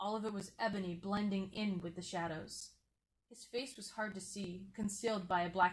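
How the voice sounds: The clip has a natural reading voice. Intonation stays fairly even over a quiet background.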